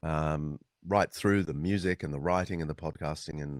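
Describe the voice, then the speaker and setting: A man with an Australian accent, lively intonation and a moderate pace, in a dry, close sound with no echo. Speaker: author and historian. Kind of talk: interview. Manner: many fillers and restarts.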